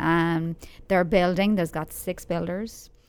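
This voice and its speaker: Speaking at a fairly slow pace, a woman with an Irish accent and a fairly low pitch is heard in a very clean recording with a silent background. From Ireland, Dublin. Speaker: local magazine writer. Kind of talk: casual interview.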